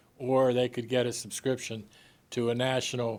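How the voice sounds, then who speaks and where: In a Pittsburgh accent, a man speaks at a medium pitch and a moderate pace. His intonation is monotone and flat. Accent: western Pennsylvania (Pittsburgh) American. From Pittsburgh, western Pennsylvania. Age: 70s. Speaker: sports writer and author. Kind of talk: interview.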